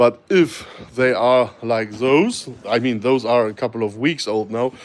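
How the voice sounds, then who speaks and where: A man's medium-pitched voice with a German accent, ordinary pitch variation and a fairly slow pace. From Germany. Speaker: snake breeder. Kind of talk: live stream Q&A. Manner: hesitant, many fillers.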